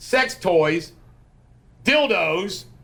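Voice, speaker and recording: A man with an American accent speaks loudly at a high pitch. His pace is very slow. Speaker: podcast host. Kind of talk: casual political chat.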